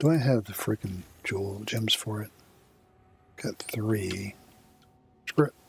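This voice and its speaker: With music in the background, the speaker uses ordinary pitch variation and leaves long, frequent pauses. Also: man. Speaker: video game streamer. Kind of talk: gameplay commentary. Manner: casual, with fillers.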